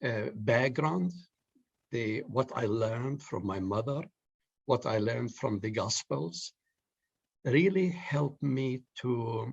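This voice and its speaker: A man speaks at a very slow pace with long, frequent pauses and lively intonation. His medium-pitched voice is somewhat breathy against a quiet background. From Palestine, Jerusalem. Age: 70s. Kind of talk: panel discussion. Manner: halting.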